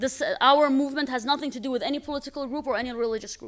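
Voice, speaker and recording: The recording is very clean, with a silent background. A woman speaks in a high-pitched voice. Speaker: human rights activist. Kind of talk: conference talk. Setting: conference podium with audience. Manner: fast.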